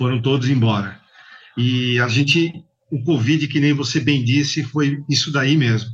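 A man speaks in an ordinary speaking voice of medium pitch with fairly even intonation. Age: 50s. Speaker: bike courier company manager. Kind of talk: interview.

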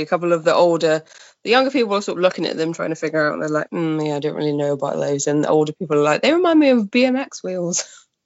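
A woman with a Welsh accent, fairly low pitch and lively intonation, very fast with hardly any pauses. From Wales, Pembrokeshire. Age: 20s. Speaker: mountain bike journalist. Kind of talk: casual chat.

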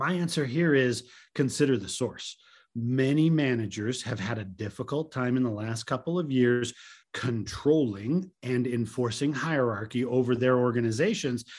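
A man speaks in a plain, everyday voice at medium pitch and a moderate pace, with ordinary pitch variation, on a very clean recording with a silent background. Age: 50s. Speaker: tech podcast co-host. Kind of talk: casual chat.

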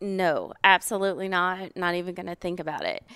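In a Southern US accent, a woman speaks at a fairly quick pace and medium pitch. The recording is very clean with a silent background and a dry, close sound with no echo. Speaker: podcast host. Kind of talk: casual chat. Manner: talkative.

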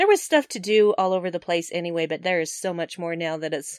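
Speaking in a plain, everyday voice with an American accent, a woman with a fairly low pitch and ordinary pitch variation talks at a fairly quick pace. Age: 40s. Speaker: podcast guest, gamer. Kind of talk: casual chat. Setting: remote call across time zones.

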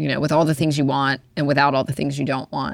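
Her intonation is fairly even as this woman talks at a very fast pace in a very deep, low pitch. The recording is very clean, with a silent background. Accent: American. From Alabama, US South. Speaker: fashion designer and business owner. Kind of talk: interview.

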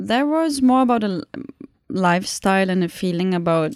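With a German accent, a woman speaks at a moderate pace in a dark, mellow tone. The sound is dry and close with no echo, and the recording is very clean with a silent background. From Germany (Munich). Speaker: documentary photographer. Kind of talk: podcast interview. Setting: university office.

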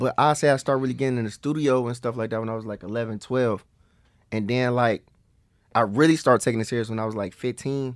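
The speech is very fast, with an American accent and fairly even intonation. The recording is very clean, with a silent background. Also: man, medium pitch for a man. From US Midwest, East Cleveland, Ohio. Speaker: rapper. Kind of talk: casual interview.

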